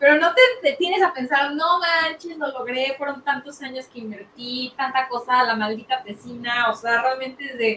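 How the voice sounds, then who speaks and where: A woman speaks in a raised, projected voice at a high pitch with ordinary pitch variation. Her moderate pace leaves hardly any pauses. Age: 20s. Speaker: podcast co-host. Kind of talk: casual chat.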